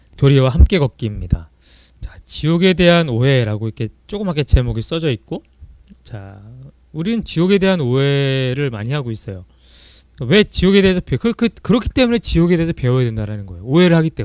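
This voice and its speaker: The voice moves at a fairly quick pace with very wide pitch swings and big swings in loudness. The recording is very clean and dry, with a close sound, no echo and a silent background. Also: man, fairly high pitch for a man. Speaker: church teacher. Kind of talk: lecture. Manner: fast.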